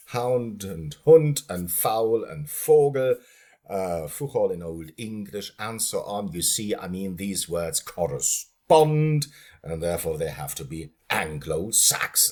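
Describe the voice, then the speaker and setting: Very slow speech from a man with a fairly low voice and very wide pitch swings, on a very clean recording with a silent background. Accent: German. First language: German. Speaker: linguistics lecturer. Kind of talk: lecture. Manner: animated; halting.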